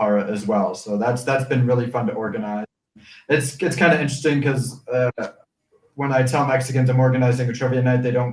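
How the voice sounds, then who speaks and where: A man with an American accent speaks very fast at a medium pitch. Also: ordinary pitch variation. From United States. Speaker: expat living in Mexico. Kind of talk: live stream discussion. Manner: halting, many fillers.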